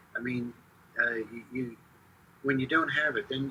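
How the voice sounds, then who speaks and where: A man with an American accent talks at a moderate pace and medium pitch. Noticeable noise sits in the background. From Philadelphia area, US. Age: 70s. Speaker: stadium public address announcer. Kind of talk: interview, casual chat. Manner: hesitant, many fillers.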